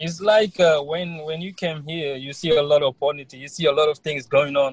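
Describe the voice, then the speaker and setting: At a moderate pace, a man with a fairly high, somewhat breathy voice keeps his intonation fairly even while his loudness swings widely. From Senegal. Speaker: college student. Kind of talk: interview. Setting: online call.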